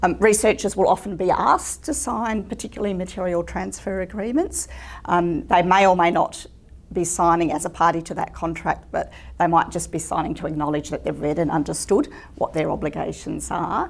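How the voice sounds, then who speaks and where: An Australian accent at a fairly quick pace. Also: woman. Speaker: legal seminar presenter. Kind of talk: lecture. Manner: fast; many fillers (um).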